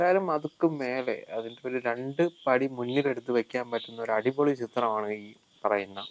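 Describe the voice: A man speaks at a fairly quick pace, and his pitch varies in an ordinary way. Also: medium pitch for a man.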